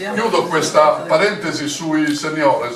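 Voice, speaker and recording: Lively intonation against noticeable background noise and audible room echo. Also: man. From Sardinia. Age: 80s+. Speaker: retired military officer and party regional coordinator. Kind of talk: political speech at meeting. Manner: halting, many fillers.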